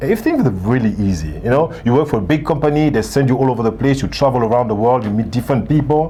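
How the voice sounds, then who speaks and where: Amid noticeable background noise, a man rushes along at a very fast pace with hardly any pauses, using lively intonation, a medium pitch and very even loudness. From Gabon, Central Africa. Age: 60s. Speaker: author and leadership coach. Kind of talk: interview.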